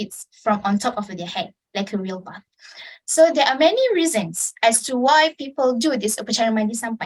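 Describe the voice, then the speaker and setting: An unremarkable speaking voice, this woman's is fairly high, with lively intonation, big swings in loudness and a moderate pace. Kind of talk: informative club speech.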